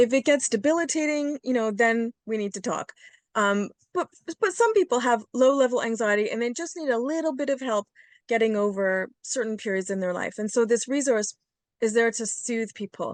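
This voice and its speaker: A woman speaks at a moderate pace and fairly high pitch, with ordinary pitch variation. The sound is dry and close with no echo, over a quiet background. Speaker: psychotherapist. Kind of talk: interview. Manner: hesitant.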